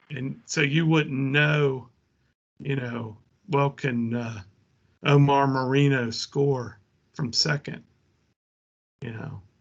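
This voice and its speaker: Very slow and full of long, frequent pauses, a man with an American accent speaks at medium pitch with fairly even intonation. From rural US. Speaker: tabletop sports gamer. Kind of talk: casual chat.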